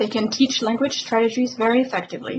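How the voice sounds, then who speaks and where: Speaking fairly quickly with a French accent, a woman with a high pitch keeps her intonation fairly even over noticeable background noise. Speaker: professor. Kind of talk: scripted narration. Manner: formal.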